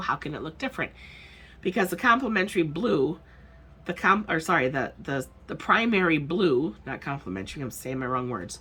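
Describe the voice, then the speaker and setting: A woman's very deep, low voice with vocal fry, a bright, sharp tone, very wide pitch swings, big swings in loudness and a fairly quick pace. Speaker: art teacher. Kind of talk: classroom lesson narration. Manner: casual, chatty.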